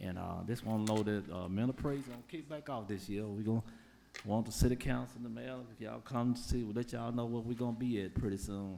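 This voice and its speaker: In audible room echo, a man with an American accent speaks very fast in a dark, mellow tone with ordinary pitch variation. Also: medium pitch for a man. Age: 60s. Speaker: public commenter. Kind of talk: public comment at council meeting. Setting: city council chamber. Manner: halting.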